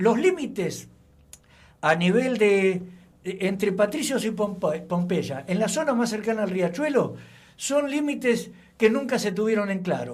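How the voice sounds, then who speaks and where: A man's high-pitched voice with lively intonation at a fairly slow pace, with audible room echo. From Argentina, Buenos Aires. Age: 70s. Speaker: local historian. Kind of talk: radio interview.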